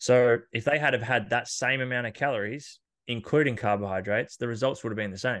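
A man with an Australian accent talks at a very fast pace and a medium pitch. His pitch varies in an ordinary way over a quiet background. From Australia, country Victoria. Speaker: personal trainer and fitness podcaster. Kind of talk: casual interview.

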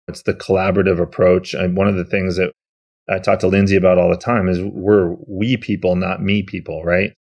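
Speaking at a fairly quick pace, a man talks in a very deep, low pitch. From Massachusetts, US. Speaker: energy storage company executive. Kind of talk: interview conversation. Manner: energetic.

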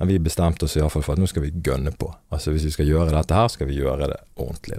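A man's dark, mellow voice. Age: 30s. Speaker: leader of a prisoner re-entry organization. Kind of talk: podcast interview.

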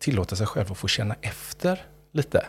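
The voice is somewhat breathy, with a Gothenburg accent. Its intonation is lively. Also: man. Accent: Gothenburg Swedish. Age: 50s. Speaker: rapper and creative director. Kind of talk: casual interview chat. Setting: studio. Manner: animated.

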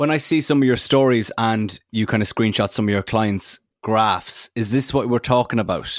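A man with an Irish accent speaks at medium pitch and a moderate pace, his loudness very even and his pitch varying in an ordinary way, with hardly any pauses. The recording is very clean, with a silent background and a dry, close sound without echo. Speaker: co-host. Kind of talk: casual chat.

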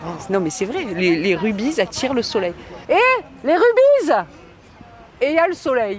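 Over crowd noise in the background, a woman speaks fairly slowly in a fairly high pitch, her pitch swinging very widely, with long, frequent pauses. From Marseille, southern France. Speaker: surgeon and rugby club president. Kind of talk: interview. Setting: outdoors.

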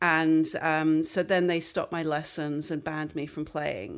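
In a very clean recording with a silent background, a woman with an American accent speaks at a very deep, low pitch with fairly even intonation. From London. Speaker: composer and violinist. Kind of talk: interview. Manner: halting.

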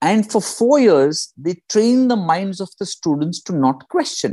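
High-pitched male speech with a dark, mellow tone and lively intonation, set against a quiet background. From India. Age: 40s. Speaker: stand-up comedian and executive coach. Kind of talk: casual chat.

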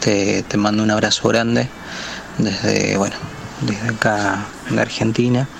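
Fairly slow, very even in loudness, with long, frequent pauses: a man's fairly low voice over noticeable background noise. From Chile. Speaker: listener sending a voice message. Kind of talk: recorded voice message. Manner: halting, with fillers and repetitions.

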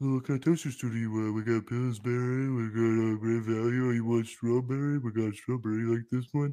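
Putting on a character voice, a man speaks at a fairly quick pace and medium pitch with monotone, flat intonation and hardly any pauses. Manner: put-on silly voice.

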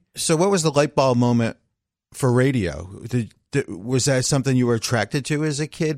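A man with an ordinary speaking voice talks at medium pitch and a moderate pace, with ordinary pitch variation. The recording is very clean, with a silent background and a dry, close sound that has no echo. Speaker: music chart manager and podcast host.

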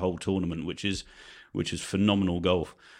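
With a Guernsey accent and fairly even intonation, a man with a very deep, low pitch talks at a fairly quick pace. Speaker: sports editor. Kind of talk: casual chat.

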